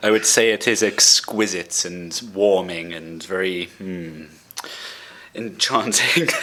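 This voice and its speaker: A very deep, low-voiced man with a British accent, at a very slow pace, with fairly even intonation and big swings in loudness, over noticeable background noise. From southern England, Brighton. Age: 20s. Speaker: podcast host. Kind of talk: casual chat.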